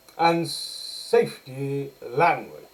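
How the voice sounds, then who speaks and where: A man speaks over noticeable background noise. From northern England. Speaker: political commentator. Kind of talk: commentary monologue. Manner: occasional self-corrections and fillers.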